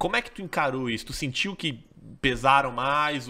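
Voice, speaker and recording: A man with a Brazilian accent talks at a fairly high pitch in a bright, sharp tone. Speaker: podcast host, company CEO; podcast host. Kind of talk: podcast interview. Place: studio. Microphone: studio mic.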